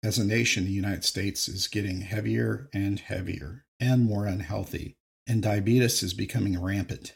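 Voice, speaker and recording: A man's somewhat breathy, fairly low voice at a moderate pace, with ordinary pitch variation and hardly any pauses. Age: 50s. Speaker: podcast host, retired psychotherapist. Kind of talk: solo monologue podcast.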